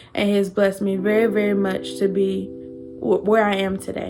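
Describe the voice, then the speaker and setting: A woman's medium-pitched voice with a North Carolina accent at a moderate pace. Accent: Southern US (North Carolina). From US South, eastern North Carolina. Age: 20s. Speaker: YouTuber, hospital worker. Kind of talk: casual get-to-know-me talk to camera.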